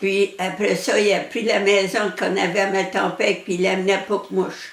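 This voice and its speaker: Speaking in an Acadian accent, a woman uses a medium pitch and a flat, monotone intonation at a moderate pace over noticeable background noise. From Acadian New Brunswick, Canada. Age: 80s+. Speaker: elderly interviewee telling her life story. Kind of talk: personal life story interview. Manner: halting, with hesitations.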